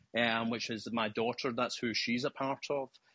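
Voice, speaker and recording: Flat and monotone, a man with a Scottish accent has a bright, sharp tone in a dry, close recording with no echo. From Scotland. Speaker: live discussion participant. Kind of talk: casual discussion. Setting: remote call.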